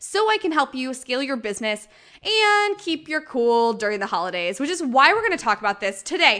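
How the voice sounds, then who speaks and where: A woman's raised, projected voice, high-pitched and bright, sharp in tone, animated and with very wide pitch swings at a fairly quick pace. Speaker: mindset coach and podcast host. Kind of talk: solo podcast monologue, motivational. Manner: high energy, animated.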